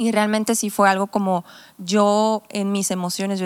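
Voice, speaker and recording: This woman has a normal speaking voice at a medium pitch and a moderate pace. The recording is very clean, with a silent background. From Mexico, Tepic (Nayarit) and Sonora. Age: 20s. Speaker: pastor. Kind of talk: casual chat.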